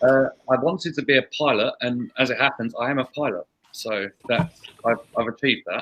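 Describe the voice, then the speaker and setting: A man with a medium-pitched voice and ordinary pitch variation talks fairly quickly. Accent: English. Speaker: recruiter. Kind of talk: online panel Q&A.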